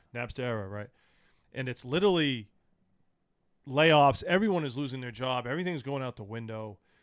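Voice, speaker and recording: In a very clean recording with a silent background, a man with an American accent and medium pitch talks at a fairly quick pace with lively intonation and long, frequent pauses. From New England (Massachusetts, southern New Hampshire). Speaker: hip hop show promoter. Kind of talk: casual podcast interview. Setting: studio.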